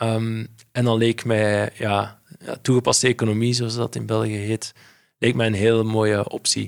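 A man at a medium pitch, with monotone, flat intonation and a fairly slow pace, in a dry, close sound with no echo. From Belgium, Flemish Brabant near Brussels. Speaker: payments company CEO. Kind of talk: interview. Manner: hesitant, many fillers.

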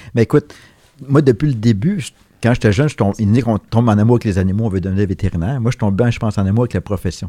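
In a Quebec accent, a man talks at a very fast pace in a dark, mellow tone at medium pitch, with ordinary pitch variation. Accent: Québécois French. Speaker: veterinarian. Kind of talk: interview.

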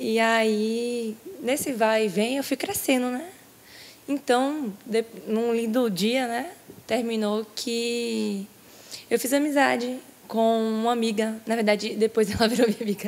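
A woman with a plain, everyday voice speaks fairly slowly in a fairly high pitch, her intonation fairly even. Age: 20s. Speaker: baptism candidate. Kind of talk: testimony. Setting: church.

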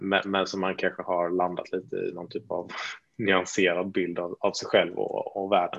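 The recording has a quiet background and a dry, close sound with no echo. In it, a man talks at a moderate pace. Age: 30s. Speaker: entrepreneur. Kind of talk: interview.

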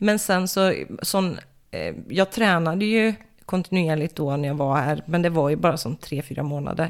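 An unremarkable speaking voice from a woman, fairly low in pitch with ordinary variation, at a moderate pace, on a very clean recording with a silent background. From Sweden, Västergötland (Falköping area). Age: 30s. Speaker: MMA fighter. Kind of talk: casual chat.

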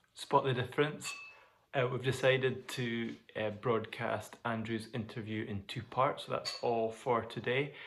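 A man with a Scottish accent, medium pitch, fairly even intonation and a fairly slow pace. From Glasgow. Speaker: podcast host. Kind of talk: casual chat. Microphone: phone recording, technical issues.

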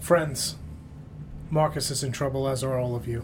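Using a put-on character voice, a man speaks at a moderate pace with a medium pitch. Loud background noise fills the recording. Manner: dramatic, urgent.

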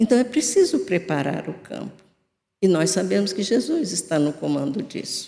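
At a moderate pace, a woman with a dark, mellow tone and medium pitch uses vocal fry and very wide pitch swings. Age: 70s. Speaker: spiritist lecturer. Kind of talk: religious talk.

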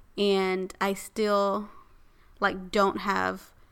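On a very clean recording with a silent background, a woman speaks at medium pitch in a bright, sharp tone. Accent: American. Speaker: podcast co-host. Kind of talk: casual chat.

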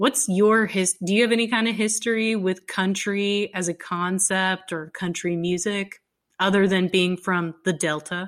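A woman with an American accent speaks in an ordinary speaking voice at a medium pitch and a fairly slow pace, with fairly even intonation. The recording is very clean, with a silent background. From Texas. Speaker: podcast co-host. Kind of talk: casual chat.

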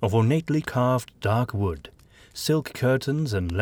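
Lively intonation in an unforced reading voice

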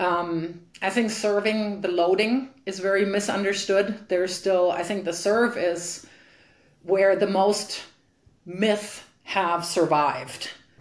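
Amid audible room echo, a woman with a German accent speaks very slowly at a medium pitch with fairly even intonation. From Germany. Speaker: tennis coach and former pro player. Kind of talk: interview.

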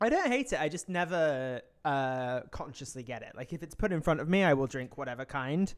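Captured in a very clean recording with a silent background, a man with a British accent and fairly high pitch talks with lively intonation, big swings in loudness and hardly any pauses. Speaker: podcast co-host. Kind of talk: casual chat.

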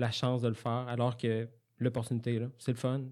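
A man's medium-pitched voice, dark and mellow in tone, with a Quebec accent, at a fairly quick pace on a very clean recording with a silent background. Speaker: software developer, former student. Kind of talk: interview. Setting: studio. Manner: halting.

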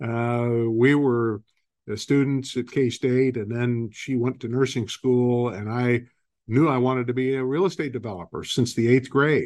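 A man talks at a fairly slow pace with an American accent. His is an unremarkable speaking voice, medium in pitch, with fairly even intonation. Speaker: real estate company CEO and investor. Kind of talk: interview, telling company history.

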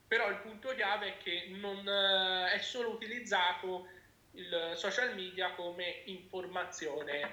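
Very slowly and with fairly even intonation, a man speaks at a high pitch amid noticeable background noise and audible room echo. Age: 20s. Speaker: patient advocate. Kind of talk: interview.

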